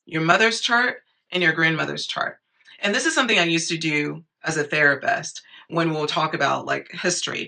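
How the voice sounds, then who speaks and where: A woman speaks at a fairly quick pace with a fairly low pitch, vocal fry, and a bright, sharp tone. Her intonation is lively. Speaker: astrologer. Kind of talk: casual talk to camera. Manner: animated.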